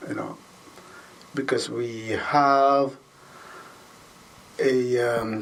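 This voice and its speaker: With a Filipino accent, a man speaks at medium pitch and with fairly even intonation, amid noticeable background noise and audible room echo. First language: Tagalog. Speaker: school custodian and basketball referee. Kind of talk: interview. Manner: halting, self-correcting.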